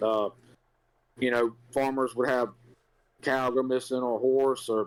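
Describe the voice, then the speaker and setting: In a Southern US accent, a man speaks at a fairly slow pace, keeping his medium pitch in a fairly even intonation. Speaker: podcast co-host, resident historian. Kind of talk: storytelling. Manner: casual, filler-heavy.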